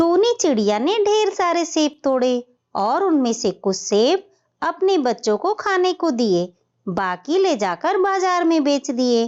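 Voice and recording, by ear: A woman's high-pitched voice with a slightly mellow tone, big pitch swings and a fairly slow pace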